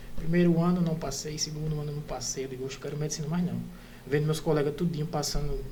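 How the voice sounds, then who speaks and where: At a very fast pace, a man with a fairly high voice talks amid audible room echo. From interior of Pernambuco, Brazil (Bezerros). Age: 30s. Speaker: orthopedic resident doctor. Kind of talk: casual podcast interview, personal story.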